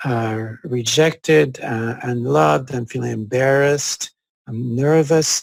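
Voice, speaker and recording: A man at a medium pitch, lively in intonation, at a very slow pace. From France, Corsica. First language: French. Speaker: psychologist. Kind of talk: interview conversation. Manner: halting, many fillers.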